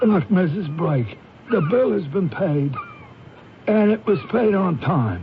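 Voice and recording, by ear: A man uses a put-on character voice at a high pitch with big pitch swings. He goes at a slow pace amid audible room echo.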